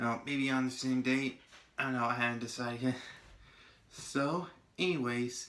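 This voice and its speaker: A man at medium pitch and moderate pace, fairly even in intonation, with long, frequent pauses and music in the background. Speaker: movie reviewer. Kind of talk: casual movie review. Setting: at home.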